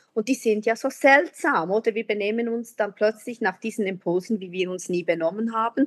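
A plain, everyday voice speaks at a moderate pace with ordinary pitch variation. The sound is dry and close, with no echo. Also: woman. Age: 40s. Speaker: teacher. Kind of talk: casual chat.

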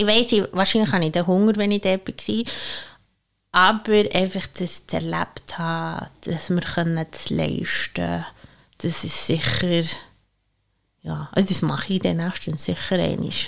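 A woman talks fairly slowly, with long, frequent pauses between her words. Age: 30s. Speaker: chef. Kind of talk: casual chat.

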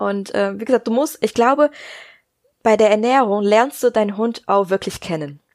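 Here is an ordinary speaking voice moving at a moderate pace with ordinary pitch variation. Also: woman, fairly high pitch for a woman. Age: 20s. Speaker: dog nutrition consultant and veterinary assistant. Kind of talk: interview.

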